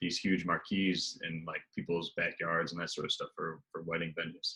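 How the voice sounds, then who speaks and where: The man's pace is moderate. He has an American accent. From USA. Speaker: travel sales executive. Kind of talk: casual interview. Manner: hesitant, many fillers.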